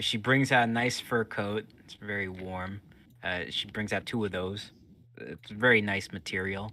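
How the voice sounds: The delivery comes in a natural reading voice.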